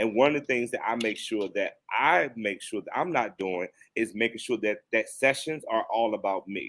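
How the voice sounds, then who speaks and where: Ordinary pitch variation in a Virginia accent, a moderate pace with hardly any pauses, on a very clean recording with a silent background. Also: man, medium pitch for a man. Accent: Southern US (Virginia). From US South, Danville Virginia. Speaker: counselor. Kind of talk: podcast interview.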